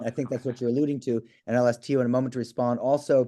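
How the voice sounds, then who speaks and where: Here a man speaks at a medium pitch in a dark, mellow tone. The background is quiet. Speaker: moderator of online law class panel. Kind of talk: moderated panel discussion. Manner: fast.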